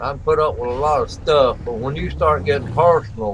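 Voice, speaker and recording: Amid noticeable background noise, a man speaks at a fairly quick pace. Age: 60s. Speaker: gaming livestreamer. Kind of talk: live gaming stream chat. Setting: livestream.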